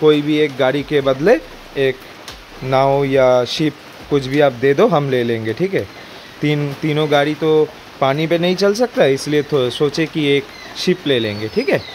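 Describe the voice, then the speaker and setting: Light background noise sits behind a man talking at a fairly slow pace. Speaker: car DIY vlogger. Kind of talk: tutorial. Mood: joking about flood. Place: garage. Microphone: phone near.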